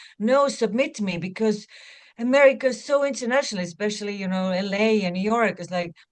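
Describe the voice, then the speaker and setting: A woman with an Estonian accent at a medium pitch and moderate pace. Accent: Estonian accent, noticeable. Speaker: actor. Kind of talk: interview.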